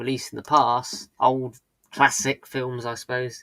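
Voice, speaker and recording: Speaking with a slight British accent, a man uses a medium pitch and a bright, sharp tone. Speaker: live streamer. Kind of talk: casual chat. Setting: live stream. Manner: hesitant, many fillers.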